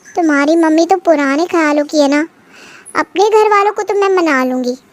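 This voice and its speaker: Pitching her voice extremely high, a woman performs a put-on character voice. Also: moderate pace, ordinary pitch variation. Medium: read story.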